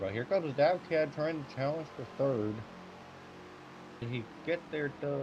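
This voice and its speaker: The man keeps to a moderate pace. His pitch shows ordinary variation. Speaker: sim racing broadcast commentator. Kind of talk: race play-by-play commentary.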